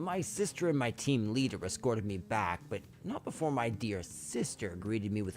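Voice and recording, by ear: The reading is done aloud in a natural voice. Its intonation is lively.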